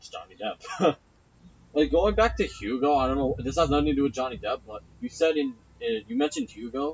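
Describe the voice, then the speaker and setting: Loudness swings widely as a man talks at a fairly quick pace over noticeable background noise. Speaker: film review podcast co-host. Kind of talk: casual chat.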